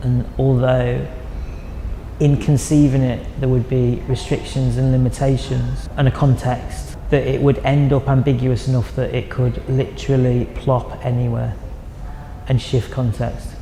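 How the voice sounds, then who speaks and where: With a northern English accent, a man talks at a fairly slow pace against noticeable background noise. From northern England (Chester). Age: 40s. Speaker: artist. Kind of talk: interview monologue about own artwork.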